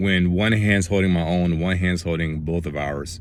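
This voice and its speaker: There is audible room echo as a man with a very deep, low voice speaks with fairly even intonation. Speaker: motivational vlogger. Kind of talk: casual talk to camera.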